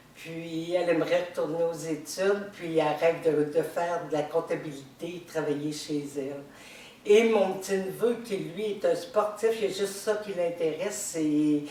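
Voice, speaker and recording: A woman with a Quebec accent speaks slowly-ish, at a fairly low pitch with ordinary variation. Noticeable background noise and audible room echo fill the recording. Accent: Québécois French. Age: 60s. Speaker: retiree, game show applicant. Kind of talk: audition video monologue.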